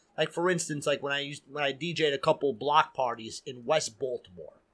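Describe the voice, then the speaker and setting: A man's fairly high voice at a fairly quick pace. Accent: New York. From New York City (Queens, Astoria). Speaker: DJ. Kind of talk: casual chat. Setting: studio.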